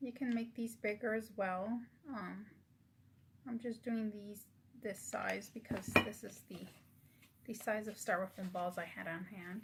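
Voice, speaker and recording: Soft-spoken and fairly high-pitched, a woman talks at a fairly slow pace. She leaves long, frequent pauses. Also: fairly even intonation. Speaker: craft YouTuber. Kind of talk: tutorial. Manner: halting.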